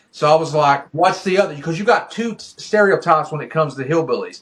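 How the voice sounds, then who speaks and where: A man's high-pitched voice with ordinary pitch variation and an Appalachian accent. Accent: Appalachian hillbilly. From Eastern Kentucky, Appalachia (Pikeville). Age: 30s. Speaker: indie wrestler. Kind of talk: casual interview.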